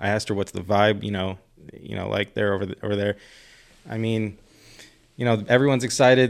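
A man speaks at a very fast pace in a fairly low pitch with fairly even intonation. He leaves long, frequent pauses. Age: 30s. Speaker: podcast host and cannabis buyer. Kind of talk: casual chat. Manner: hesitant, many fillers.

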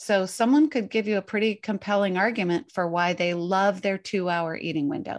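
A woman's unremarkable speaking voice at medium pitch, with ordinary pitch variation, a moderate pace, hardly any pauses, and a quiet background. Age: 50s. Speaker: intermittent fasting coach and author. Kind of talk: interview.

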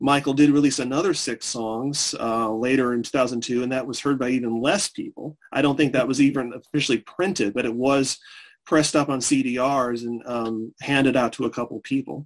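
With hardly any pauses, a man speaks in a medium pitch and fairly even intonation, an unremarkable speaking voice. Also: moderate pace. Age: 40s. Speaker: music historian. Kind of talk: interview.

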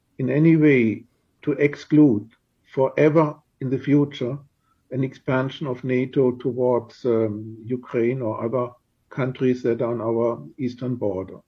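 In a German accent, a man speaks at a medium pitch and a fairly slow pace, somewhat breathy, with ordinary pitch variation. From Germany. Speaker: diplomat. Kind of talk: radio interview.

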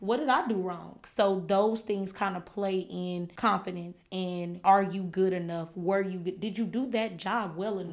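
A woman with an American accent, medium pitch, fairly even intonation and an ordinary speaking voice, at a moderate pace with hardly any pauses. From California, then Shreveport, Louisiana. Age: 30s. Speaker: podcast co-host. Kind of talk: casual chat.

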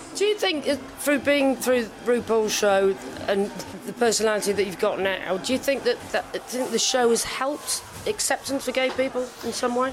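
Against noticeable background noise, a woman speaks at a high pitch and moderate pace with ordinary pitch variation. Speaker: podcast host. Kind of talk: casual interview chat. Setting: backstage.

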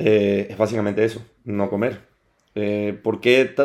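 A man delivers his words at a fairly slow pace with monotone, flat intonation. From Venezuela, Caracas. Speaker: fitness instructor and personal trainer. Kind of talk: casual interview chat.

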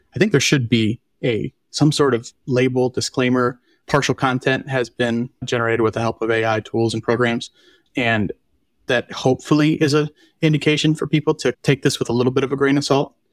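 Dry and close with no echo, this very clean recording with a silent background captures a man with an American accent. His pitch is medium, and his pace is fairly quick. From United States. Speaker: podcast co-host. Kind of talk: casual chat. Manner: animated.

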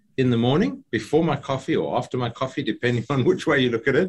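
A man with a somewhat breathy voice talks with ordinary pitch variation. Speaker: entrepreneur and business speaker. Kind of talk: interview.

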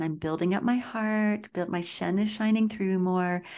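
Against a quiet background, a woman uses a normal speaking voice at a medium pitch, talking at a moderate pace with fairly even intonation. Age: 50s. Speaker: qigong and Chinese medicine instructor. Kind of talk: interview.

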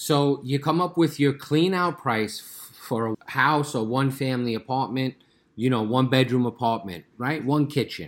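A plain, everyday voice moves at a moderate pace. Its pitch variation is ordinary. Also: man, medium pitch for a man. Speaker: pest control business owner, podcast co-host.

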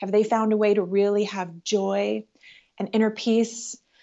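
A woman with a Canadian accent has a normal speaking voice and a fairly high pitch. Her pace is moderate and her intonation fairly even. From Canada, Ottawa. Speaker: spiritual teacher. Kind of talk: interview.

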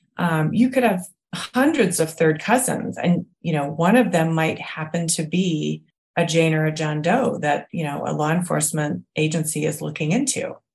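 At a moderate pace, a woman with a fairly low, somewhat breathy voice speaks with lively intonation. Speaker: genetic genealogist. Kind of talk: interview answers.

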